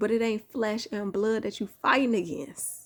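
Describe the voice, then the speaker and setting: A woman with a fairly high pitch talks with an American accent. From Chicago. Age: 30s. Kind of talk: sermon. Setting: at home, holding sleeping son. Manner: animated; softer, lowered voice.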